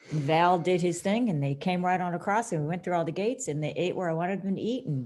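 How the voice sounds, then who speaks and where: A woman has an ordinary speaking voice with a fairly low pitch. Her pace is fairly quick. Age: 60s. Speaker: cattle farmer. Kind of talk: casual chat.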